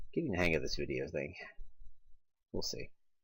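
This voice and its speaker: Man speaking at a very fast pace, with an American accent. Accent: slightly southern-tinged Midwestern American. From United States. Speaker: artist. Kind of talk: narrated art commentary.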